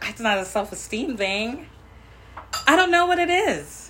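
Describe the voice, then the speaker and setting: A woman uses a raised, projected voice with a high pitch. She keeps a moderate pace while her pitch swings very widely. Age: 30s. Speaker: podcast co-host. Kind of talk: casual chat.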